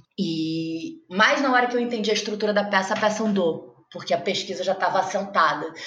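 Fairly quick at a medium pitch, a woman talks with ordinary pitch variation amid audible room echo. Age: 30s. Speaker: actress and playwright. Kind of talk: interview. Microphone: audio noise from technical problems.

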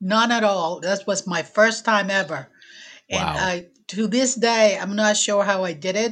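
With a Puerto Rican accent, a woman speaks at a fairly slow pace and a medium pitch. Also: ordinary pitch variation. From Puerto Rico. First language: Spanish. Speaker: air force veteran and local historian. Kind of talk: podcast interview.

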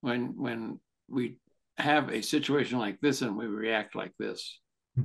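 A plain, everyday voice from a man, medium in pitch with ordinary pitch variation, at a fairly slow pace, with a dry, close sound with no echo and a quiet background. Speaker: podcast host, therapist and author. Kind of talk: casual interview chat.

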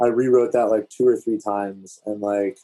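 A man with a fairly low pitch and monotone, flat intonation, with music in the background. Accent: American. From DC/Virginia area (DMV), US East Coast. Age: 30s. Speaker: music producer. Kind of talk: casual chat.

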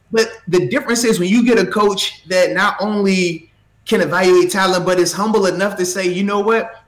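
Music plays in the background as a high-pitched man speaks at a moderate pace, with fairly even intonation and very even loudness. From Virginia, Portsmouth. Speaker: former pro football player. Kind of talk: casual chat.

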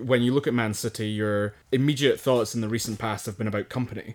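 Recorded very cleanly against a silent background, a man speaks in a flat monotone. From Scotland. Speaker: podcast co-host. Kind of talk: casual chat about football.

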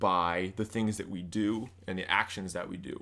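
A man speaks with a Midwestern American accent in a bright, sharp tone. His intonation is monotone and flat. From US Midwest (central Illinois). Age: 20s. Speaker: college student. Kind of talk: casual chat.

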